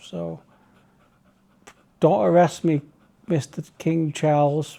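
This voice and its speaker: In a Manchester accent, a man with a fairly high pitch and a dark, mellow tone speaks at a very slow pace. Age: 40s. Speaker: vlogger. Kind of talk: casual chat. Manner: relaxed.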